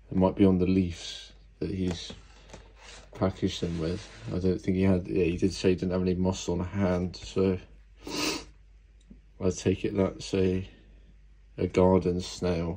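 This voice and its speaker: Speaking at a moderate pace with long, frequent pauses, a man uses a very deep, low pitch and a dark, mellow tone in a flat, monotone intonation. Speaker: exotic pet keeper. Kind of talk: casual unboxing talk to camera. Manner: grumpy. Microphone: phone near.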